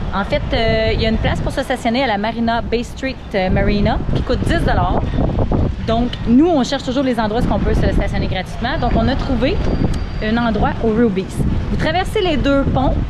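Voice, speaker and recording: A woman talks at a moderate pace with ordinary pitch variation. Loud noise fills the background. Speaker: sailing vlogger. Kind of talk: casual vlog chat. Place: street. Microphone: phone near.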